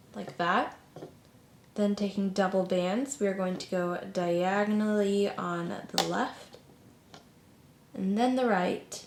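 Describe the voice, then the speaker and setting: A woman at a very slow pace, with long, frequent pauses and fairly even intonation, amid noticeable background noise and audible room echo. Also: medium pitch for a woman. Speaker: craft tutorial youtuber. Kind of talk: tutorial.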